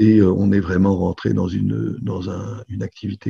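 Very deep and low, this man's voice has a dark, mellow tone and vocal fry, moving at a fairly slow pace with lively intonation. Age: 60s. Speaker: business owner. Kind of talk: interview. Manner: halting.

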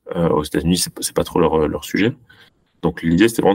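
The recording is dry and close, with no echo. A man speaks with a very deep, low pitch and ordinary pitch variation. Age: 30s. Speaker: company co-founder and CEO. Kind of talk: interview. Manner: halting.

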